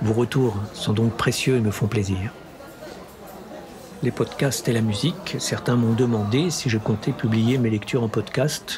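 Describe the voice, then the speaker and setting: With a northern French accent, a man speaks at a fairly slow pace and medium pitch, using ordinary pitch variation and very even loudness, with long, frequent pauses and noticeable background noise. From Grand Est, France (Champagne, Ardennes). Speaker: audiobook narrator and channel host. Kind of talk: casual Q&A monologue. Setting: café.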